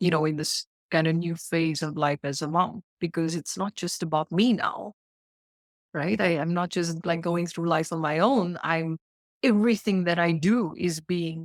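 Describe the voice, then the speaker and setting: A woman with a South African accent talks at a moderate pace, her pitch fairly low with ordinary variation. The sound is dry and close, with no echo. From South Africa (Indian South African). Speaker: life coach, mother. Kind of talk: podcast interview.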